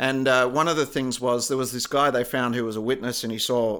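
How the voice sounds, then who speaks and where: On a very clean recording with a silent background, a man with an Australian accent talks at medium pitch and a fairly quick pace, his tone bright and sharp and his intonation fairly even. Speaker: podcast co-host. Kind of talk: casual chat.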